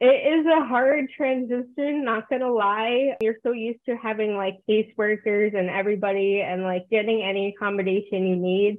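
With an American accent, a woman talks at a moderate pace with hardly any pauses. She has an ordinary speaking voice, fairly high pitch and ordinary pitch variation. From New Jersey. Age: 20s. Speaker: college student and cosplayer. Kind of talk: casual interview.

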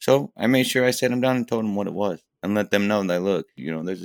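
A man with a Midwestern American accent speaks at a fairly quick pace and fairly low pitch, with lively intonation, in a dry, close recording with no echo, very clean and with a silent background. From Fremont, Ohio. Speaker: welder. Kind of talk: interview. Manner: halting.

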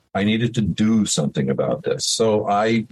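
A man speaks in an American accent. His voice is somewhat breathy. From New York State (Hudson Valley). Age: 70s. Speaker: retired musician. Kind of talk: interview. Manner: halting, many fillers.

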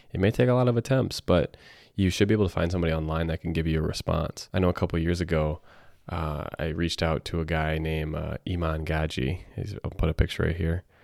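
In an upbeat tone, a man with a very deep, low pitch speaks very fast, the recording very clean with a silent background and a dry, close sound with no echo. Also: ordinary pitch variation. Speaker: podcast host. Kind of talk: solo podcast monologue, casual. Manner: casual, upbeat, conversational.

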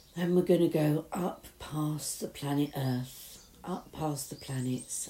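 A woman's very deep, low voice with a British accent, dark, mellow, warm and soothing in tone, with fairly even intonation at a very slow pace. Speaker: meditation guide. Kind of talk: guided meditation. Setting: outdoors in a garden summer house with birdsong. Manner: soothing, slow and gentle, with long calming pauses; warm, reassuring, hushed.

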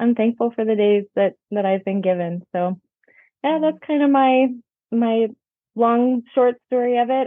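A woman speaks with a Texan accent. Her pitch sits fairly high. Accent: Texan American. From Texas. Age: 40s. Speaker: writer and mom. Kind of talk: casual interview chat.

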